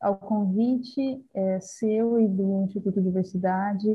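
A woman's somewhat breathy, medium-pitched voice at a fairly slow pace, with fairly even intonation. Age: 30s. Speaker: university student. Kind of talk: casual discussion.

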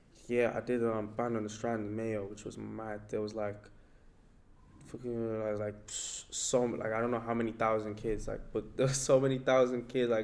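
A man at a moderate pace, monotone and flat in intonation, with audible room echo. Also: medium pitch for a man. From Nigeria, moved to Ireland at 14. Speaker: hip hop artist. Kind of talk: interview.

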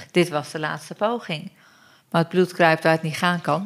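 At a moderate pace and with fairly even intonation, this is an ordinary speaking voice. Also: woman. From Turkey. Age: 40s. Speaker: mother sharing her birth story. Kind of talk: testimony.

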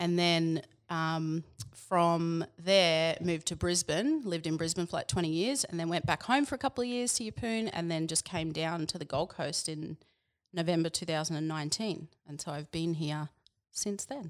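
With an Australian accent, this speaker talks at a moderate pace with ordinary pitch variation on a very clean recording with a silent background. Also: woman, fairly low pitch for a woman. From Queensland, Australia. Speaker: personal coach. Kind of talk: casual chat.

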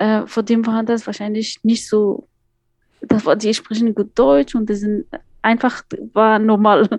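A woman with an Afghan accent at a fairly slow pace, with fairly even intonation and long, frequent pauses. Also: fairly high pitch for a woman. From Afghanistan, Kabul. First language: Dari (speaking German). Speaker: migrant advocate and educator. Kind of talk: interview.

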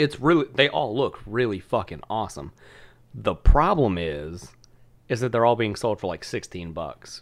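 A man with a fairly low pitch and vocal fry speaks very slowly, his pitch swinging very widely. The recording is very clean, with a silent background. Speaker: podcast co-host. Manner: casual, frequent swearing.

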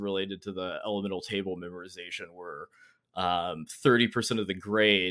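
A man with an American accent talks at a fairly quick pace and fairly low pitch. He has an ordinary speaking voice. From North Carolina. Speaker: Marine veteran, former counter-intelligence. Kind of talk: casual interview chat.

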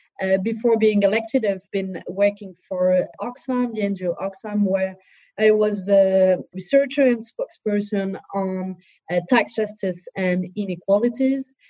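Somewhat breathy and dark, mellow in tone, a woman speaks in a French accent at medium pitch. Her pace is fairly slow and her intonation fairly even. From southern France. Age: 30s. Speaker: politician. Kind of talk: interview. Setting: video call.

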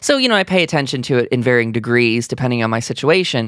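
Very fast male speech at a medium pitch with vocal fry, dry and close with no echo, on a very clean recording with a silent background. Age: 20s. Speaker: video game podcast host. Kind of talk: casual chat.

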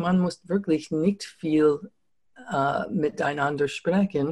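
Speaking very slowly with an American accent, a woman uses ordinary pitch variation. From US New England. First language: English (speaking German). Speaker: communication trainer. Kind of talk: interview. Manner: halting, many fillers.

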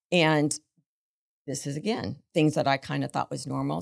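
With an American accent and vocal fry, a woman talks at a moderate pace and a very deep, low pitch, in a very clean recording with a silent background and a dry, close sound with no echo. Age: 60s. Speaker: business founder. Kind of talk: casual chat.

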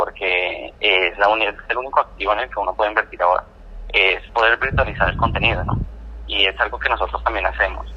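Very fast male speech with noticeable background noise underneath. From Colombia. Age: 20s. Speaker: audiovisual producer. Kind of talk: interview. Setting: phone call. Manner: halting.

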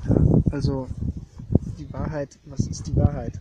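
Over noticeable background noise, a man speaks at a fairly high pitch with monotone, flat intonation. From East Germany. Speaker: artist and art historian. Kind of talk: casual conversation. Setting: outdoors on a meadow.

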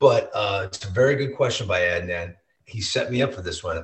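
A man with an American accent at a moderate pace. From US Midwest (St. Louis). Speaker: baseball TV host. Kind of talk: casual chat. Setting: home basement. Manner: animated.

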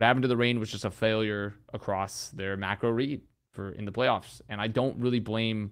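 A man with a plain, everyday voice speaks at a fairly low pitch and with fairly even intonation. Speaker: esports podcast host and caster. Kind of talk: casual chat podcast.

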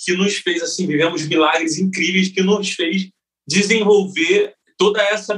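A man's high-pitched voice moves at a moderate pace, its pitch varying in an ordinary way. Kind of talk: interview.

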